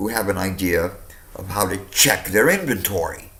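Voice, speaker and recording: Noticeable background noise accompanies a man speaking at a moderate pace in a fairly low pitch with ordinary pitch variation. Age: 60s. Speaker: customer complaining to phone company. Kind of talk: phone complaint call. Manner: animated.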